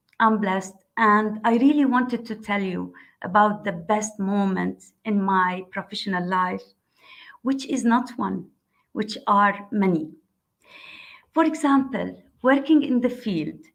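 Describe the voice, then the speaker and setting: Somewhat breathy, a woman with a fairly high pitch and ordinary pitch variation speaks at a fairly slow pace, pausing often and at length. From Morocco. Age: 60s. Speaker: construction engineer. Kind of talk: panel webinar talk.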